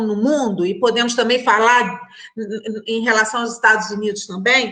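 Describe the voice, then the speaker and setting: A woman speaks at a fairly slow pace with a fairly high pitch. Noticeable background noise runs underneath. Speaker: criminal judge on a debate panel. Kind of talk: online panel debate. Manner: halting, many repetitions.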